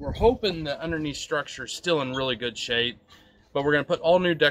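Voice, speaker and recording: A man, with light background noise. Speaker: homeowner DIY vlogger. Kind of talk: casual vlog chat. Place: garden. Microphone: phone near.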